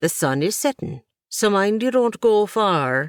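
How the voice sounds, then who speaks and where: Hissing runs through a put-on character voice of fairly high pitch at a fairly slow pace, on a very clean recording with a silent background. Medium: read story. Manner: hissing, tight-lipped.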